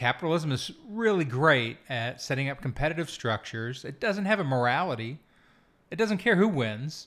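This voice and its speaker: In a very clean recording with a silent background, a man with a fairly high pitch talks at a moderate pace, his pitch swinging very widely. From Kentucky. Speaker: podcast co-host. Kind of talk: casual chat. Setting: backyard shed studio.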